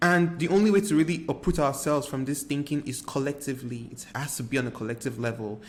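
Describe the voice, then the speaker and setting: A man's fairly high voice with a Nigerian accent, very fast pace and ordinary pitch variation. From Nigeria, Lagos. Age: 20s. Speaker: artist and video creator. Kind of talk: personal reflective monologue.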